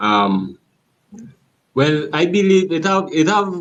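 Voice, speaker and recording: Speaking at a fairly slow pace in a strong Trinidadian accent, the voice moves through very wide pitch swings. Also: man. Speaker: caller. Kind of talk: casual debate.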